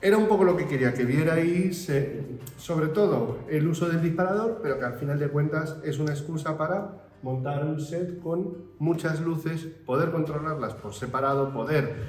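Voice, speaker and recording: Music plays in the background as a man with a fairly high pitch speaks at a moderate pace with ordinary pitch variation, and room echo is audible. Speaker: photography teacher. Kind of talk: tutorial.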